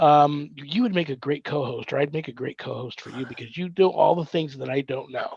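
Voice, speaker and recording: Speaking at a fairly quick pace with an American accent, a somewhat breathy man with a fairly high pitch shows ordinary pitch variation and big swings in loudness. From Southern California. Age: 60s. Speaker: paranormal minister and navy veteran. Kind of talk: podcast interview. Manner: halting; casual.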